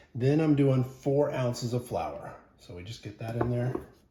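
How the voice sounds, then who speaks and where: A man at medium pitch, fairly slow, with ordinary pitch variation and noticeable background noise. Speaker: home cooking video host. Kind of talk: cooking tutorial. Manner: loud; casual, conversational.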